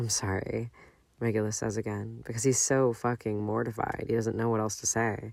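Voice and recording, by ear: The passage is read aloud in a natural voice.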